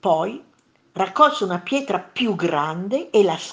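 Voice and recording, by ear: The voice is reading aloud in a natural voice with lively intonation.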